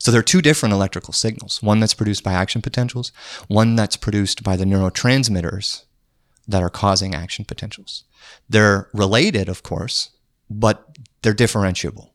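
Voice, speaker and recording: A plain, everyday voice from a man with an American accent, fairly low and fairly quick, with ordinary pitch variation, in a dry, close sound with no echo on a very clean recording with a silent background. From US Upper Midwest (North Dakota). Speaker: neuroscience researcher. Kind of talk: casual interview conversation. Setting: in person at guest's workplace.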